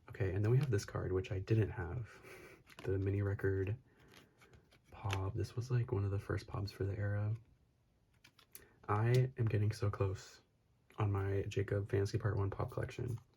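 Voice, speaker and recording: Soft-spoken and somewhat breathy, a dark, mellow voice with an American accent moves at a moderate pace in a monotone, flat intonation, broken by long, frequent pauses. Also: man, fairly low pitch for a man. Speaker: YouTuber and photocard collector. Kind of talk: casual haul vlog. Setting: at home late at night. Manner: soft-spoken, talking quietly.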